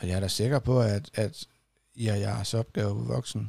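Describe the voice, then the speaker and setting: Speaking at a fairly slow pace, a man with fairly low pitch and lively intonation sounds somewhat breathy, recorded very cleanly with a silent background and a dry, close sound with no echo. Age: 30s. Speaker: podcast host. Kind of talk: casual interview.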